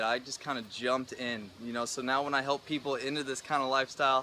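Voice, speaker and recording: There is noticeable background noise. A man talks at a fairly quick pace. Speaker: YouTuber and personal trainer. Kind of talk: personal vlog monologue. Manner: fast; animated.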